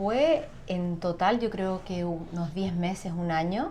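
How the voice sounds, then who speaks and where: A woman's medium-pitched voice at a very slow pace, with ordinary pitch variation and audible room echo. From Chile. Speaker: singer and sound therapist. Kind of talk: interview.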